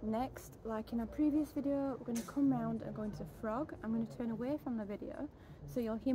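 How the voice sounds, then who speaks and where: A woman talks at a fairly quick pace. Noticeable background noise sits behind her. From Yorkshire, England; England. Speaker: pole fitness instructor. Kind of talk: fitness tutorial instruction. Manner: casual, conversational. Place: garden.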